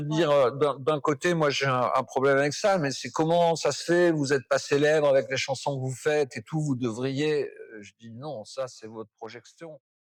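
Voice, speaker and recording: The speaker has an unremarkable speaking voice at a moderate pace with fairly even intonation and hardly any pauses. Loudness swings widely in a very clean recording with a silent background. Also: man, fairly high pitch for a man. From Brittany, France. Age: 60s. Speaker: poet and singer-songwriter. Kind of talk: interview answer.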